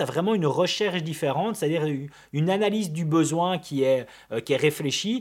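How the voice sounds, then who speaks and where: A man with a high pitch on a very clean recording with a silent background. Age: 30s. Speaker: videographer and podcast co-host. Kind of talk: casual chat.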